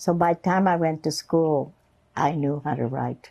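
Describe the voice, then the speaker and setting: With a Central European accent, a woman speaks at a fairly low pitch. Her tone is dark and mellow. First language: German. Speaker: Holocaust survivor. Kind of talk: oral history interview. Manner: casual, conversational.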